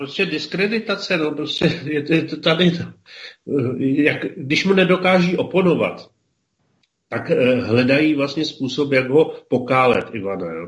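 Vocal fry runs through the voice. Long pauses come often. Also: man, fairly high pitch for a man, lively intonation, fairly slow pace. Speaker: regular co-host discussing history and politics. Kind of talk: casual radio discussion.

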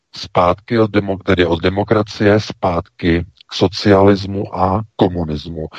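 In a quiet background with a dry, close sound and no echo, a man speaks at a very deep, low pitch, fairly slowly, with very even loudness, hardly any pauses, and monotone, flat intonation. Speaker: news site editor-in-chief. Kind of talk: talk radio commentary. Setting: studio.

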